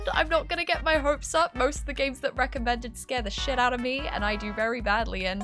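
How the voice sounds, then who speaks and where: A woman's very fast speech with music in the background. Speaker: gaming streamer. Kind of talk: horror game let's play commentary. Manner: casual talk to camera.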